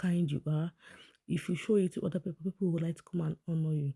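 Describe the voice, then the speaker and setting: In a Nigerian accent, the speech comes at a very fast pace with an animated tone. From Nigeria (Igbo). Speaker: vlogger commenting on celebrity events. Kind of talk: casual vlog commentary. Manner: chatty, animated.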